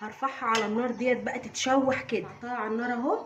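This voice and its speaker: Someone speaks at a fairly quick pace amid noticeable background noise and audible room echo. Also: woman. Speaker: home cooking vlogger, mother. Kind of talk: cooking tutorial. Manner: lowered voice at times.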